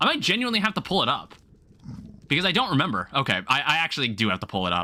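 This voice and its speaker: A man at a very fast pace, fairly high pitch with very wide pitch swings, vocal fry, a bright, sharp tone and very even loudness. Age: 20s. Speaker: gaming streamer. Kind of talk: live gameplay stream commentary. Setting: live stream. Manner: casual, conversational.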